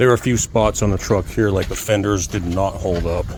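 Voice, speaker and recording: A fairly low-pitched male voice over noticeable background noise. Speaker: DIY builder and channel owner. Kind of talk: casual tutorial. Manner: monotone.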